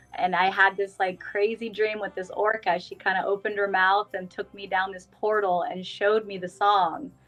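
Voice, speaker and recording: A woman with a Californian accent talks at a moderate pace and medium pitch. Her intonation is monotone and flat, with music in the background. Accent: Californian American. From Northern California (Auburn). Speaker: singer-songwriter. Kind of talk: casual interview.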